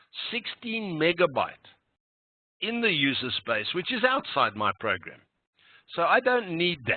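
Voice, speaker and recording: A man's high-pitched voice with very wide pitch swings, at a fairly slow pace. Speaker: programming instructor. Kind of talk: lecture. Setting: online meeting recording. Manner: slow, deliberate.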